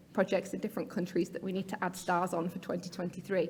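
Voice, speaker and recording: In a British accent, a woman speaks in a somewhat breathy voice. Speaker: patient advocacy research officer. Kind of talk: conference talk. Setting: stage with audience.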